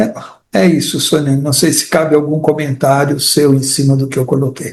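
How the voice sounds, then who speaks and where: The man's voice is fairly high and somewhat breathy. He keeps a moderate pace and fairly even intonation. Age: 70s. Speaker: participant. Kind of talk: testimony. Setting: online live stream.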